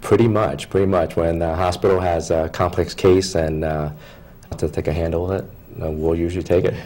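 A man with an American accent talks at a fairly quick pace in a very deep, low pitch with monotone, flat intonation. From Philadelphia, Pennsylvania; Pennsylvania. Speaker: foot and ankle surgeon; guest. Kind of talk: TV interview. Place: studio.

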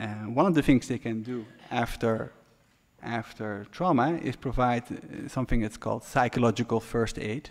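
Man speaking at a moderate pace with ordinary pitch variation, long and frequent pauses, quiet background. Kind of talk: press conference briefing. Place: hall. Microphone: podium.

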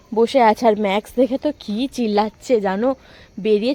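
The sound is dry and close, with no echo. A woman with a dark, mellow tone and a fairly high pitch speaks with fairly even intonation. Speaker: lifestyle vlogger. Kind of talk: casual vlog narration. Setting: at home.

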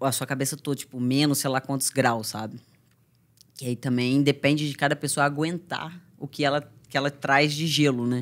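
A woman's very deep, low voice holds fairly even intonation at a moderate pace. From Brazil, Minas Gerais. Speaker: MMA fighter; podcast guest. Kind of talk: casual interview. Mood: serious, reflective personal story. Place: studio. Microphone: studio mic.

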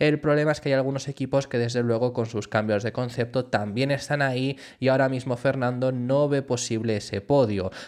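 In an ordinary speaking voice, a man talks at a fairly quick pace with fairly even intonation against a quiet background. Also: medium pitch for a man. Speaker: Formula 1 YouTuber. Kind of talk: news commentary.

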